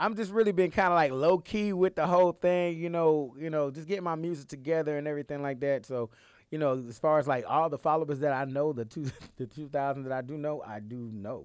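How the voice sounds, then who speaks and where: At a very fast pace, a man speaks with a fairly high pitch, ordinary pitch variation and big swings in loudness. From College Park, Atlanta area, Georgia (born in Philadelphia). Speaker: songwriter and music artist. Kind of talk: casual interview chat.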